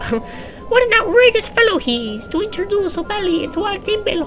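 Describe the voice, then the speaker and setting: Clear music plays behind a put-on character voice delivered at a fairly quick pace. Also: female-sounding voice, extremely high pitch for a woman. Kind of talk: pompous, archaic. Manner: cackling, exaggerated.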